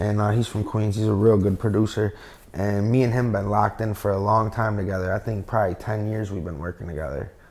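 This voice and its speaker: Speaking very fast with an upstate New York accent, a man uses a fairly low pitch and fairly even intonation. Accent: upstate New York American. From upstate New York, Binghamton area. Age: 30s. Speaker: rapper. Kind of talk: casual interview.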